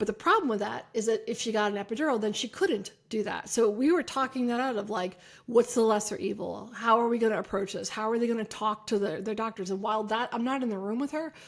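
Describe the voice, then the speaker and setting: The woman's pitch sits fairly high, with ordinary variation. She speaks very fast on a very clean recording with a silent background. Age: 50s. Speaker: chiropractor and podcast host. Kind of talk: solo podcast talk. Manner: casual.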